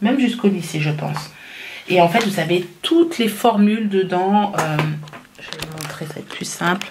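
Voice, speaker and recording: Over noticeable background noise, the speaker goes at a moderate pace with ordinary pitch variation and big swings in loudness. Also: woman. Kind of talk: casual vlog chat. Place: home room. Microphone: phone near.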